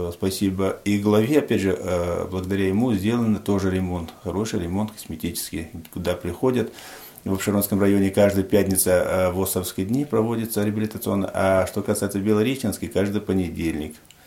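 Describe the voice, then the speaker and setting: A man talks in a normal speaking voice at a fairly quick pace. His pitch is fairly low and his intonation fairly even. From Tajikistan. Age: 40s. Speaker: head of a local society for the blind. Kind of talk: radio interview.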